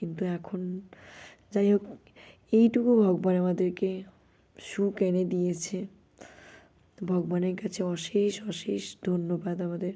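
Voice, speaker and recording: Tone here is dark and mellow. Intonation remains flat and monotone. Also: woman, medium pitch for a woman. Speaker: vlogger, army wife and mother. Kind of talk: casual vlog narration.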